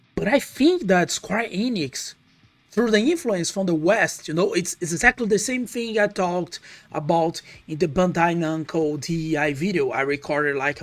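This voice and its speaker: The speaker talks at a moderate pace with a Portuguese accent. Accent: non-native English, Portuguese-accented. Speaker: gaming YouTuber. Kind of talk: casual commentary video. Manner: halting, many fillers and restarts.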